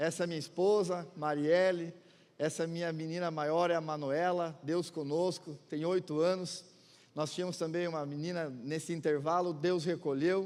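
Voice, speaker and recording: Audible room echo surrounds a man's high voice at a moderate pace. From Santa Catarina, southern Brazil (Chapecó). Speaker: guest pastor. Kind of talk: sermon. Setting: church with congregation. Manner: animated.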